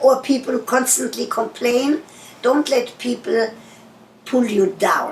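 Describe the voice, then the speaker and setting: Over noticeable background noise, a woman with a German accent speaks at a fairly slow pace. Her pitch is high, with ordinary pitch variation. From Germany. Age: 80s+. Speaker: sex therapist. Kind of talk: interview answer. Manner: forthright, motherly.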